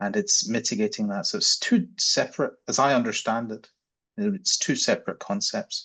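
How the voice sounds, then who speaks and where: A man speaks with vocal fry and very wide pitch swings, the background quiet. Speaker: psychiatry researcher. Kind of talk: panel discussion. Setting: video call.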